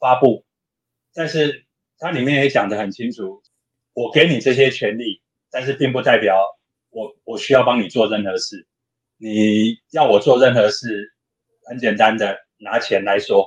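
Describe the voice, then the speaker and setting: A man with a Taiwanese accent speaks at medium pitch with ordinary pitch variation. His pace is fairly slow, with long, frequent pauses. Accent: Taiwanese Mandarin. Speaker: open hardware maker advocate. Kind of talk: casual interview chat.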